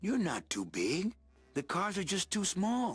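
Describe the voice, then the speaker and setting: A man's put-on character voice, high-pitched and fairly slow, with music in the background. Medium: video game. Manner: dry, laconic.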